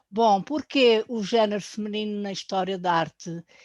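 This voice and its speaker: The speech comes at a fairly slow pace in a European Portuguese accent, with ordinary pitch variation. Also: woman. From Portugal, Azores. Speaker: painter. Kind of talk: course presentation. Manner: hesitant, with fillers.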